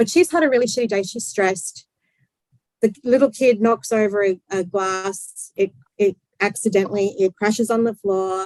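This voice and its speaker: A woman uses a normal speaking voice at medium pitch and moderate pace, with ordinary pitch variation, in a dry, close sound with no echo. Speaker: clinical psychologist. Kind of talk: interview. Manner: casual, conversational.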